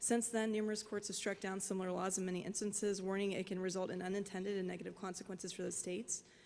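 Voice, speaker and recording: A woman with an American accent speaks at a very fast pace with hardly any pauses, her medium-pitched voice flat and monotone. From West Virginia (Charleston). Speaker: business owner, former lawyer. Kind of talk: public hearing testimony. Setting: virtual public hearing.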